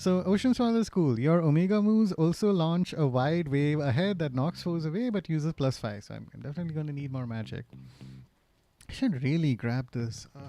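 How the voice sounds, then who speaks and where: With a dark, mellow tone, the voice moves at a fairly quick pace, its intonation lively and its loudness swinging a lot. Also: man, fairly high pitch for a man. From Gulf region. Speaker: gaming streamer. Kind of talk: live gameplay commentary. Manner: animated.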